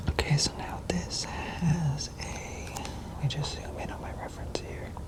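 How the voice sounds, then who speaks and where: Fairly slow whispering from a man, with noticeable background noise. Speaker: ASMR artist. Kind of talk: soft-spoken ASMR sketching talk. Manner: soft-spoken, hesitant.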